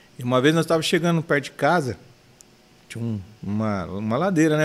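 Lively intonation marks this man's speech. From São Paulo city, Brazil. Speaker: businessman and church member. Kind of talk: casual interview.

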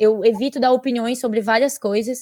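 Here is an ordinary speaking voice at a moderate pace. The recording is very clean, with a silent background. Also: woman. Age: 20s. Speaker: social media influencer. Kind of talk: casual chat.

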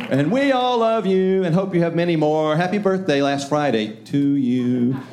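Music plays in the background as a man talks at a moderate pace with lively intonation. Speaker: church leader. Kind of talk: church announcements. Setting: church with congregation.

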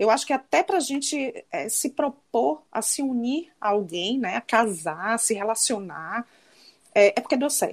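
A woman talks at a fairly high pitch and a fairly slow pace. Her pitch swings very widely. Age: 40s. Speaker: psychologist and former lawyer. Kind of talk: casual chat.

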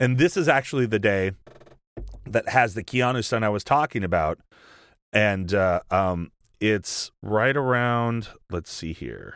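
On a very clean, dry, close recording with no echo and a silent background, a man talks fairly slowly at a fairly low pitch with ordinary pitch variation and long, frequent pauses. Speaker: podcast host. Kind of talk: casual chat.

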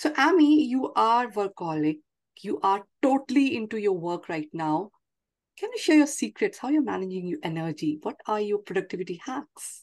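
This woman speaks at a moderate pace with a medium pitch and very wide pitch swings. The background is quiet. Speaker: podcast host. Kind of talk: interview.

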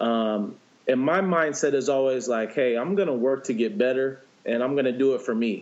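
In a normal speaking voice, a man with an American accent talks at a medium pitch and moderate pace, with ordinary pitch variation. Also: very even loudness. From San Diego, California. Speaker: professional baseball player. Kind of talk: interview.

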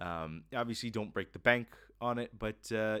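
The speech comes at a fairly quick pace with an American accent. The recording is very clean, with a silent background. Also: man. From US South, Florida. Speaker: podcast host. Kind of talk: casual monologue. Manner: cheerful.

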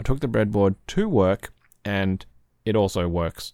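A man talks in an Australian accent at a moderate pace. His pitch is fairly low. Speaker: podcast host and community moderator. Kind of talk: casual chat. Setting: online voice chat. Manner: relaxed.

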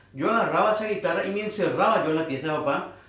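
A man talks at a high pitch with lively intonation. Noticeable background noise and audible room echo fill the recording. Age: 30s. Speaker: church band guitarist. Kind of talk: casual chat.

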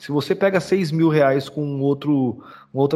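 Using a plain, everyday voice, a man talks at a moderate pace in a fairly high pitch with ordinary pitch variation. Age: 30s. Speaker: podcast host. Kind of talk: casual chat.

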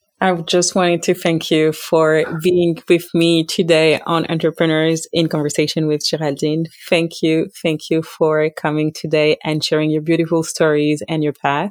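A woman speaks with an unremarkable speaking voice, pitched fairly low, at a fairly slow pace. The sound is dry and close, with no echo. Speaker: podcast host. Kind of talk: interview, hosting.

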